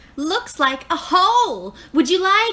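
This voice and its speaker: An extremely high, squeaky put-on character voice speaks at a fairly slow pace. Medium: read story. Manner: chipper, repetitive offers of help.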